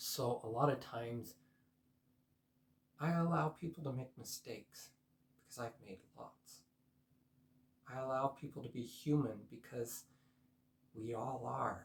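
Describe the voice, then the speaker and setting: Soft-spoken and somewhat breathy, a man at a medium pitch talks at a fairly slow pace with ordinary pitch variation, big swings in loudness and long, frequent pauses. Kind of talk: personal vlog monologue.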